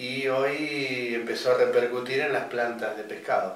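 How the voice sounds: Strong room echo surrounds a man speaking at medium pitch. His pace is moderate and his intonation fairly even.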